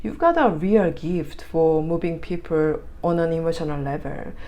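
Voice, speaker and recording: A woman speaks in a Korean accent at a fairly slow pace. Room echo is audible. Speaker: tarot reader. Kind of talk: tarot reading; casual chat. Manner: halting, filler words.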